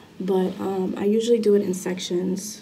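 Noticeable background noise underlies a woman speaking at a moderate pace. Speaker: vlogger. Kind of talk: casual vlog chat. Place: home room. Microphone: phone near.

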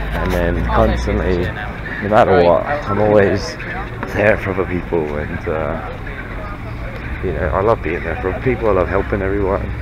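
Very wide pitch swings mark this fairly slow speech, heard over noticeable background noise. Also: man, very deep, low pitch for a man. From England. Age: 30s. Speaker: vlogger. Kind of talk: vlog monologue. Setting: outdoors. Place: street. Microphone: phone near.

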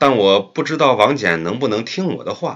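The passage is read aloud in a natural voice.

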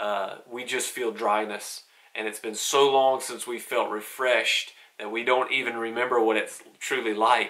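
A man at a moderate pace with a medium pitch and monotone, flat intonation. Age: 30s. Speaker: gospel singer and devotional vlogger. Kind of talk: devotional talk; concert announcement. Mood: calm, encouraging. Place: home room.

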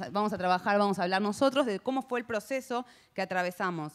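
Speaking at a fairly quick pace, a woman shows ordinary pitch variation. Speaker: panel moderator. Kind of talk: panel moderation, introductory remarks. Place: hall. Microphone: handheld.

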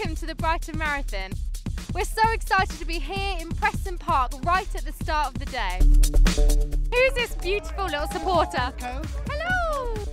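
A woman speaks in a relaxed tone at a fairly slow pace, with clear music in the background and a dry sound with no echo. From England. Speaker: TV presenter. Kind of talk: event presenting, interviews. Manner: lively, relaxed, personable. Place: open country. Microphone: handheld.

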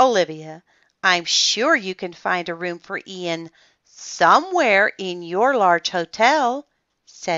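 The background is quiet. A natural reading voice carries lively intonation.

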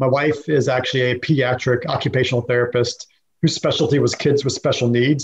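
A man speaking at a very fast pace, somewhat breathy, with fairly even intonation. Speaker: podcast guest. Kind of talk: interview answer. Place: home room. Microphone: webcam.

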